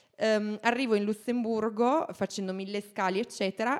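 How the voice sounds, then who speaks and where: A woman's normal speaking voice with ordinary pitch variation, dry and close with no echo, on a very clean recording with a silent background. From Italy. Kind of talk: casual chat.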